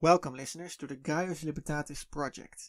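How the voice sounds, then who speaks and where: In a Dutch accent, a man speaks at a fairly quick pace with a fairly high pitch and fairly even intonation. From Netherlands. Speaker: podcast host. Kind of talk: podcast monologue. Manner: halting.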